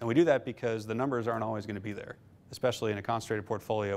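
Speaking very fast, the man keeps a fairly low pitch and fairly even intonation. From Nebraska, Omaha; Nebraska. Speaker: investment fund manager; guest. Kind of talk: lecture. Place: classroom.

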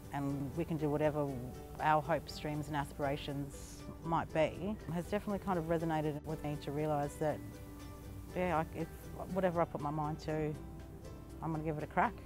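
Over clear music, a woman with an Australian accent speaks fairly quickly in a very deep, low, monotone voice, with a dry sound and no echo. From north-east Arnhem Land, Australia. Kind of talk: interview answer. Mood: calm, reflective. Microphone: lapel.

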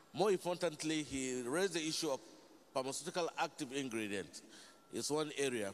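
His voice sits at a medium pitch. The pitch moves up and down in an ordinary way. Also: moderate pace.

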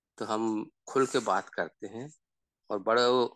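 A man talks at a medium pitch with fairly even intonation, in a dry, close sound with no echo against a quiet background. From Seoni district, Madhya Pradesh. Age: 60s. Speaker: father sharing family experience. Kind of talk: personal testimony in online group session.

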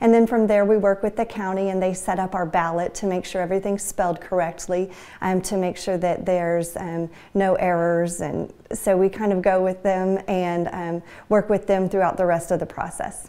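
A woman talks at a moderate pace. Her intonation stays monotone and flat. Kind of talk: interview answer. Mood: friendly, smiling. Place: office. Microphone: lapel.

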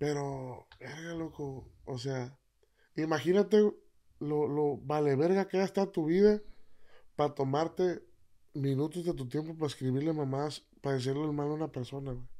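His voice has a dark, mellow tone and a fairly high pitch, with ordinary pitch variation in how the man speaks. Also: moderate pace, very clean recording, silent background. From Jalisco, Mexico (Tomatlán). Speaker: corrido singer-songwriter. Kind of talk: casual interview chat. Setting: studio.

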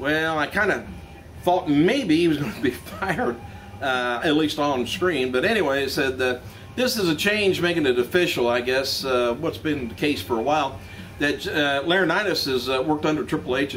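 Over light background noise, a man talks at a moderate pace with lively intonation. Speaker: news vlogger. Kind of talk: news commentary. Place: shop. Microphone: camera far.

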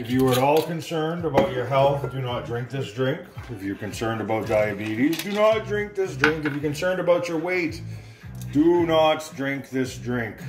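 Clear music sounds in the background. A man talks over it at a moderate pace. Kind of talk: casual tutorial. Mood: jokey, playful. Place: kitchen. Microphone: phone near.

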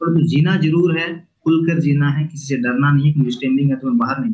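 Calm and somewhat breathy, a man speaks with a fairly high pitch and fairly even intonation. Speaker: political YouTuber. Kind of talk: interview about stammering. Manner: calm, unhurried.

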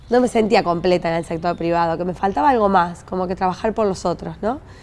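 With ordinary pitch variation, a woman speaks at a very fast pace. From Argentina, Pergamino; Argentina. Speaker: city councillor. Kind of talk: interview. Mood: warm, grateful. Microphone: lapel.

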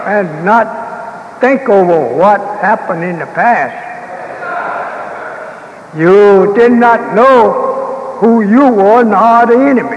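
Over light background noise, a high-pitched man talks at a very slow pace with ordinary pitch variation. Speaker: religious leader lecturing. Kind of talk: sermon. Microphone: old recording.

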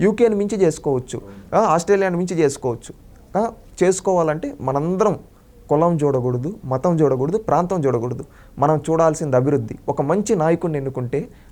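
Fairly high male voice, dark and mellow in tone, its pitch varying in an ordinary way. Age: 20s. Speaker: member of the public giving political opinion. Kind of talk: street interview opinion. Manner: animated, impassioned.

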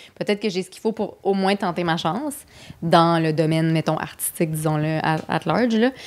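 In an ordinary speaking voice, a woman talks at a fairly quick pace with fairly low pitch and big swings in loudness, on a very clean recording with a silent background. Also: ordinary pitch variation. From Quebec City suburbs. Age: 30s. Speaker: comedian and screenwriter. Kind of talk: casual chat.

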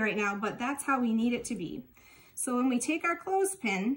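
High-pitched female speech delivered at a fairly quick pace. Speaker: library staff craft host. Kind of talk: tutorial. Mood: warm, friendly, encouraging. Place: kitchen. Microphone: phone near.

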